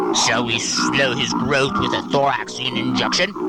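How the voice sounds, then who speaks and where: A man's put-on character voice at a moderate pace, against loud background noise. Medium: short film.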